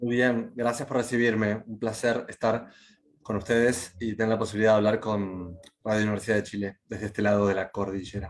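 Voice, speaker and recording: A man speaks with an Argentine accent at a fairly low pitch and a fairly quick pace. His intonation is monotone and flat. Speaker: writer and journalist. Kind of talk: interview.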